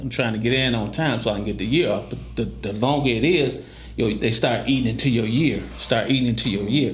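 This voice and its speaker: A man at medium pitch with lively intonation and a fairly quick pace, amid audible room echo. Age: 60s. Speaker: former prisoner telling his life story. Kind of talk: interview storytelling. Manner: animated.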